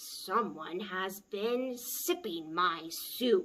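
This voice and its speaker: A put-on character voice growls along at a very slow pace. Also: woman. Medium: read story. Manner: huffy, growly.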